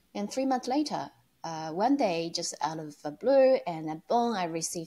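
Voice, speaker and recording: Lively intonation and a dark, mellow tone come through in a very clean recording with a silent background. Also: woman. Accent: Chinese. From China. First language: Chinese. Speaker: online entrepreneur. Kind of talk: interview. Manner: hesitant, many fillers.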